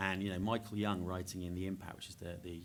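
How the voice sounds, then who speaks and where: A man speaks at a very fast pace in a very deep, low voice. His intonation stays fairly even. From England, Norfolk. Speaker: education charity worker. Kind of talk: panel discussion.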